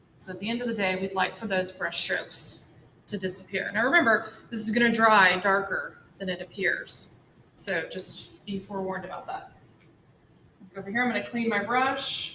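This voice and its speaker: A woman talks at a moderate pace with a medium pitch and ordinary pitch variation over noticeable background noise. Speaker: art teacher. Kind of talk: tutorial.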